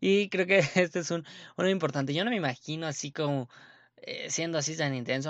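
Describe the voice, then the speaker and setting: An animated male voice. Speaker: sports podcast host. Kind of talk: casual monologue.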